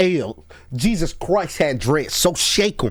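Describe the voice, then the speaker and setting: A man with a fairly high pitch speaks in an animated tone against noticeable background noise. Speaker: YouTube reaction streamer. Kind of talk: casual reaction commentary. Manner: loud.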